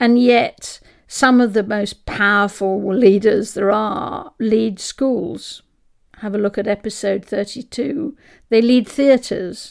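A woman speaks at a fairly high pitch and a fairly slow pace with ordinary pitch variation. The recording is very clean with a silent background. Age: 60s. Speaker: podcast host and expedition leader. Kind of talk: solo monologue podcast.

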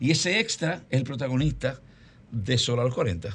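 A man's fairly high voice at a moderate pace, with very wide pitch swings over a quiet background. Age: 50s. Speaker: film producer. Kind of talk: interview.

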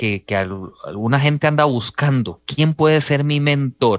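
Fairly slow speech from a man with a fairly high pitch, dry and close with no echo. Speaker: radio host. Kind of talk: radio interview. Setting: studio.

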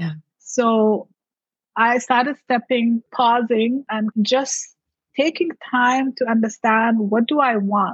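Speaking very slowly with a non-native accent, a woman uses a fairly high pitch and ordinary pitch variation. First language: not English. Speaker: mindset coach and entrepreneur. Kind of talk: casual interview.

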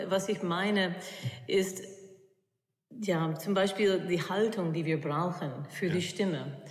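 A woman's medium-pitched voice with a non-native accent, a very slow pace, long, frequent pauses and fairly even intonation, in audible room echo. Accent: foreign accent in German. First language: English (speaking German). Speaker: opera singer and voice coach. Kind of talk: interview. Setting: music hall at a university.

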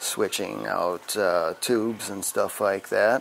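Over noticeable background noise, a man with an American accent talks at a moderate pace in a fairly low pitch with ordinary pitch variation. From Wisconsin. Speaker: tattoo artist. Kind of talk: interview. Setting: tattoo shop.

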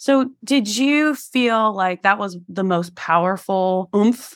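This woman has a normal speaking voice with medium pitch and ordinary pitch variation. The recording is very clean, with a silent background. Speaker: podcast host. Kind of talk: casual interview chat. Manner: casual, profane.

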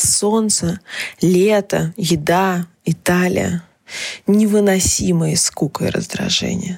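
A woman speaks with ordinary pitch variation. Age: 20s. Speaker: journalist and podcast host. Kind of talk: personal monologue column. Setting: home recording in small apartment.

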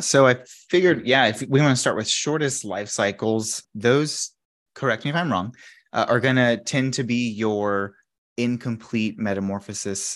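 In a plain, everyday voice, a man speaks fairly slowly at a medium pitch with ordinary pitch variation. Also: quiet background. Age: 30s. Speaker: entomologist, extension podcast host. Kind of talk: educational podcast chat.

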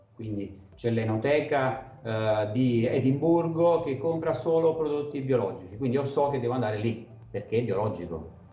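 A man speaks at a medium pitch and moderate pace with lively intonation, over noticeable background noise and audible room echo. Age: 40s. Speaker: wine sales and marketing consultant. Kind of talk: interview.

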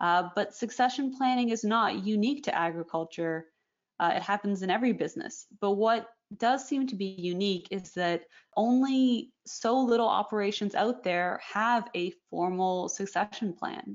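With a Canadian accent, a woman with a plain, everyday voice speaks at medium pitch and a moderate pace, her intonation lively. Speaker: magazine editor, podcast host. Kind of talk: interview.

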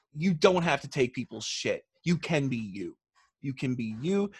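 With a normal speaking voice at fairly high pitch, a man talks at a moderate pace in a dry, close sound with no echo over a quiet background. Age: 30s. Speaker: rock band guitarist with Asperger's. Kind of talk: casual video interview. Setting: video call.

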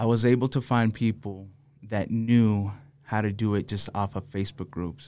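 Over a silent background in a very clean recording, a man with an American accent uses a normal speaking voice, fairly low in pitch, with fairly even intonation at a moderate pace. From Los Angeles, raised mostly in Salt Lake City, Utah. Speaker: contractor and business owner. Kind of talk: casual chat.

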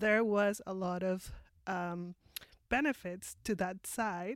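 Someone with a Mexican accent is heard in a very clean recording with a silent background and a dry, close sound with no echo. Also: woman. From Mexico. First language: Spanish. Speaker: immigrant sharing her experience. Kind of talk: interview. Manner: halting.

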